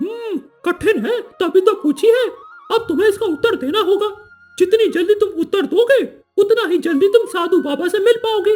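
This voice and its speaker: In a cartoonish character voice with extremely high pitch, the speaker talks at a moderate pace over faint music in the background. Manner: playful, teasing.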